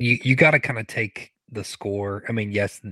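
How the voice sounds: A man's fairly low voice with ordinary pitch variation, a bright, sharp tone and a dry, close sound with no echo. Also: moderate pace.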